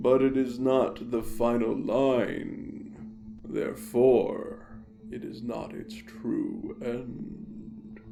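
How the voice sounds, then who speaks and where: A put-on character voice moves at a very slow pace over clear background noise. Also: man. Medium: audio drama. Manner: slow, grave.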